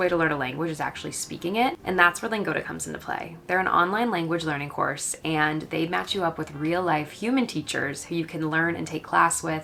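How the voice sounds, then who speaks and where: A woman with an American accent speaks at a fairly quick pace and a fairly low pitch. Her intonation is lively, and she has an ordinary speaking voice. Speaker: lifestyle vlogger. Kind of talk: chatty vlog. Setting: at home. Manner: casual, filler-heavy.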